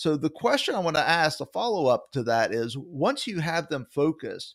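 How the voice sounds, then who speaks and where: A man with a Southern US accent and a fairly high pitch makes very wide pitch swings, heard in a very clean recording with a silent background and a dry, close sound with no echo. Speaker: podcast co-host. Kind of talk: casual interview.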